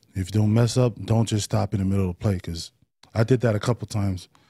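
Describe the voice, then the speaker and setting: In a very clean recording with a silent background, a man speaks at a fairly low pitch and a fairly quick pace, his voice somewhat breathy with a dark, mellow tone and fairly even intonation. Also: dry, close sound with no echo. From East Oakland, California. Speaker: football player. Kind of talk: casual interview.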